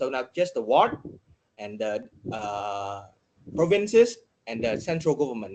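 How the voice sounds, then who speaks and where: Speaking at a moderate pace with a Vietnamese accent, a man makes very wide pitch swings and leaves long, frequent pauses. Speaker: data journalist. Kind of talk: podcast interview. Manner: halting, many fillers.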